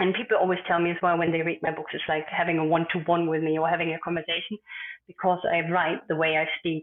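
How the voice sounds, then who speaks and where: A woman speaks very fast in a German accent. Her pitch is fairly low and her intonation monotone and flat. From Germany, Berlin. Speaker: author and communication expert. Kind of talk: interview podcast. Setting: remote call.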